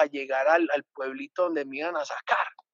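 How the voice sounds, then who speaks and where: This voice belongs to a man. The rise and fall of his pitch is ordinary. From Colombia, Antioquia. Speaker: adventurer and former TV presenter. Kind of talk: casual interview.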